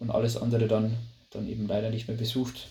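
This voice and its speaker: A man of medium pitch with audible room echo. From Lower Bavaria, Germany. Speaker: management consultant. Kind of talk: interview. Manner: hesitant, many fillers.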